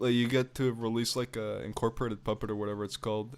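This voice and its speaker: A man speaks at a very fast pace in a Spanish accent, his pitch medium. His intonation is monotone and flat. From Panama. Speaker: video game streamer. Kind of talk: live gameplay stream chat. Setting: live stream.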